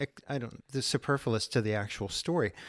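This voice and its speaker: In a normal speaking voice, a man with a medium pitch speaks fairly quickly with ordinary pitch variation. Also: very clean recording, silent background. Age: 40s. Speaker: author and small-press editor. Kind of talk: interview.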